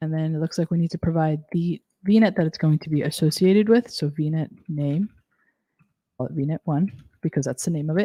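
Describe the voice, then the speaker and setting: A woman speaks with a very deep, low pitch at a fairly quick pace. Her tone is dark and mellow. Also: ordinary pitch variation, quiet background. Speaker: cloud technology instructor. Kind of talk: live technical tutorial. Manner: fast. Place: home room.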